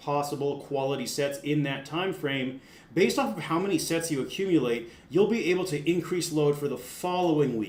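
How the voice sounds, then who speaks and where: Fairly high for a man, this voice carries ordinary pitch variation with audible room echo around it. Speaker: strength coach. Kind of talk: tutorial. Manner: casual; fast.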